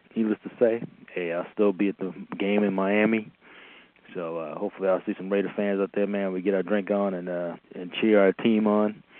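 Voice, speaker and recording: The delivery is monotone and flat. It moves at a fairly quick pace. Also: man. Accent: American. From US East Coast. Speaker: caller. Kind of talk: phone-in message.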